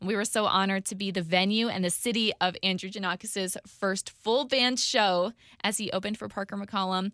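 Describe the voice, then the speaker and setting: A woman's medium-pitched voice, bright and sharp, with fairly even intonation, a fairly quick pace and a dry, close sound with no echo. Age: 20s. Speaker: radio host. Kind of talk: podcast monologue.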